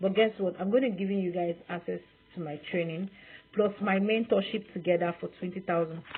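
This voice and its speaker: The delivery moves at a fairly quick pace with fairly even intonation. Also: woman, medium pitch for a woman. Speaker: online sales coach. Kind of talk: sales pitch. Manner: fast.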